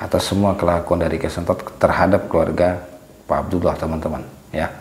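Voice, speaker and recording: A quiet man's voice, very deep and low in pitch, in a monotone, flat delivery over noticeable background noise. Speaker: paranormal vlogger. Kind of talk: vlog narration to viewers; confrontational vlog. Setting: outdoors in a village at night. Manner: hushed, lowered voice.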